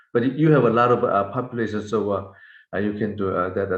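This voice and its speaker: The speaker talks at a fairly quick pace with ordinary pitch variation, and audible room echo surrounds the voice. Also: man. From South Korea. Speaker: hand surgeon, professor. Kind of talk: webinar Q&A discussion. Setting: video call webinar. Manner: halting, many filler sounds.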